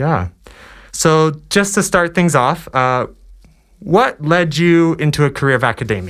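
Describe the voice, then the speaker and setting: A man speaks at a fairly high pitch, with very wide pitch swings and long, frequent pauses. The recording is very clean, with a silent background. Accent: American. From US East Coast. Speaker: student podcast host. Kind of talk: scripted introduction; interview. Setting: podcast.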